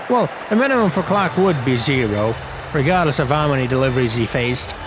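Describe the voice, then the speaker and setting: With lively intonation and a non-native accent, a man talks amid noticeable background noise and audible room echo. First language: not English. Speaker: gaming youtuber, game commentator. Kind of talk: casual gameplay commentary. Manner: casual, hesitant with fillers.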